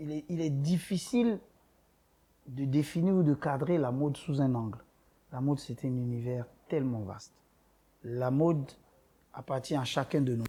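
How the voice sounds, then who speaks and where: A man talks in a fairly high, somewhat breathy voice. His speech has long, frequent pauses. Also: ordinary pitch variation. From Ivory Coast. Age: 30s. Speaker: boutique owner. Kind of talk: interview.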